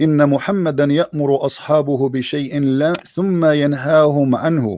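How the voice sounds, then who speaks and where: A man with an Arabic accent speaks at a fairly high pitch for a man, his tone dark and mellow and his intonation fairly even. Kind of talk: religious debate.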